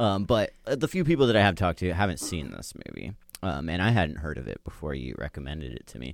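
Speaking very fast with vocal fry, a man with a very deep, low pitch makes very wide pitch swings and big swings in loudness, in a very clean recording with a silent background. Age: 20s. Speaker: podcast host and producer. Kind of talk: casual chat.

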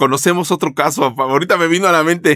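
Very clean with a silent background, this recording of a man with a Mexican accent has a dry, close sound with no echo and a moderate pace. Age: 50s. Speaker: insurance podcast host. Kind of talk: casual interview.

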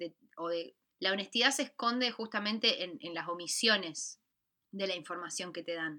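With an Argentine accent, a woman speaks at a moderate pace in a bright, sharp tone with lively intonation. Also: medium pitch for a woman. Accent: Argentine Spanish (Rioplatense). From Argentina. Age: 20s. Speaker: podcast co-host. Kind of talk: casual chat.

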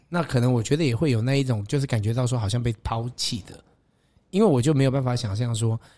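A man's dark, mellow voice at medium pitch, ordinary pitch variation, very fast pace. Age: 40s. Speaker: podcast host. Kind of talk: interview.

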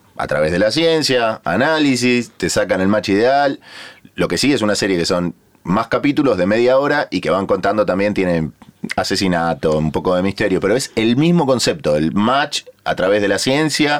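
This man's fairly low voice makes very wide pitch swings at a moderate pace while his loudness stays very even. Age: 30s. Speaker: podcast host. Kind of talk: casual chat. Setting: studio.

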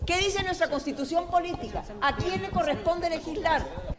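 Behind the speaker there is noticeable background noise. She is a woman, talking at a fairly quick pace. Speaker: legislator. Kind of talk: press statement. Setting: press conference.

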